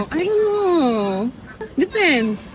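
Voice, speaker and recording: A woman's voice with a Polish accent, a very slow pace and very wide pitch swings, over noticeable background noise. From Poland, small town. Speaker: model. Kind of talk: interview.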